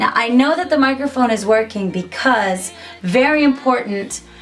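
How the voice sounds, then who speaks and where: Faint music plays behind a woman whose voice sits at a fairly high pitch. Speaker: singer-songwriter and YouTuber; YouTuber. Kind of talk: tutorial. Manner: casual, chatty. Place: home room.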